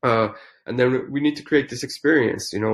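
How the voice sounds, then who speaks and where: Spoken at a fairly quick pace with a non-native accent and ordinary pitch variation, the recording is very clean with a silent background. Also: man. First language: not English. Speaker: founder of a digital fashion company. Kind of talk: podcast interview. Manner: hesitant with fillers and restarts.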